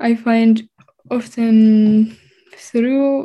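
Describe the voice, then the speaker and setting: A woman with a fairly high pitch speaks in a dark, mellow, somewhat breathy tone with fairly even intonation. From Edmonton, Canada (born in Finland, moved at 10). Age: young. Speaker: composer and cellist. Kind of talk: interview.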